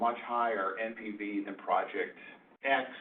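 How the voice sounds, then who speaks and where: A man talks in a room with audible echo, and noticeable background noise sits behind him. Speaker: presenter on project finance. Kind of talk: lecture.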